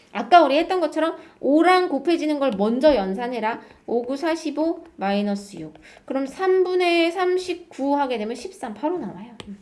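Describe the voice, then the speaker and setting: In an animated tone with very wide pitch swings, the speaker goes at a moderate pace amid audible room echo. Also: woman. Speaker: math teacher. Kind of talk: lecture.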